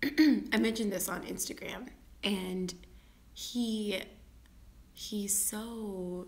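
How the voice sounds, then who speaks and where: At a very slow pace and with long, frequent pauses, a woman speaks at a medium pitch in a somewhat breathy voice with ordinary pitch variation, and audible room echo surrounds her. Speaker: vlogger. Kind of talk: casual vlog monologue. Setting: at home, live video. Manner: halting, repeated words; whispering.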